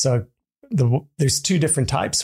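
A man with a strong Californian accent speaks in a somewhat breathy voice with ordinary pitch variation. The recording is very clean, with a silent background. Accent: strong American, Californian. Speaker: drinks company co-founder. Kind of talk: interview. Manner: casual, laughs often.

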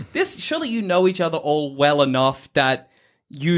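In a very clean recording with a silent background, a man with an Australian accent speaks at a fairly high pitch with lively intonation. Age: 20s. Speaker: podcast host. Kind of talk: casual chat.

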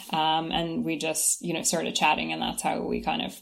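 A woman with a Kentucky accent talks at a moderate pace. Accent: American, Kentucky. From US Kentucky. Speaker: shop co-founder. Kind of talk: casual interview chat.

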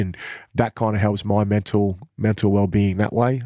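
In a very clean recording against a silent background, a man with an Australian accent talks in a fairly low, dark, mellow voice with fairly even intonation. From Queensland, Australia. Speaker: basketball coach. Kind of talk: casual interview.

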